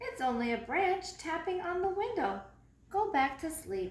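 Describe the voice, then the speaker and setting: The speaker uses a put-on character voice at a moderate pace. A slight echo can be heard. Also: woman, extremely high pitch for a woman. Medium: read story. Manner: sleepy, matter-of-fact.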